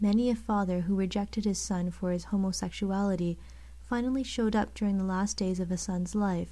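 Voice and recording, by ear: Someone reads aloud in a natural voice. The intonation is fairly even.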